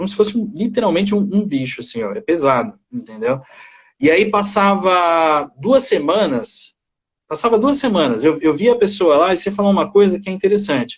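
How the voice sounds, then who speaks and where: A man's high-pitched voice carries lively intonation as he talks at a moderate pace. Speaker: psychologist. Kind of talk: casual chat. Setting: video call. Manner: halting.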